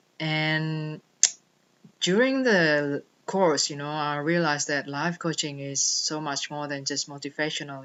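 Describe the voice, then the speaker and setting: Speaking with a non-native accent at a fairly slow pace, a woman uses a very deep, low pitch and monotone, flat intonation. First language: not English. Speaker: life coach. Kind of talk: personal vlog monologue.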